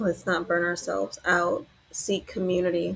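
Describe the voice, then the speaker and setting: A soft-spoken woman keeps a moderate pace while noticeable background noise continues behind her. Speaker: death doula and podcast host. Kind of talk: reflective presentation review. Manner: soft-spoken, low volume; relaxed with many fillers.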